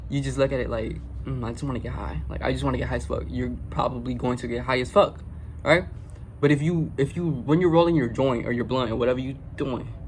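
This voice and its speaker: Audible room echo surrounds this man as he rushes along at a very fast pace. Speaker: spiritual vlogger. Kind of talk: casual vlog monologue. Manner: halting, frequent stutters and restarts.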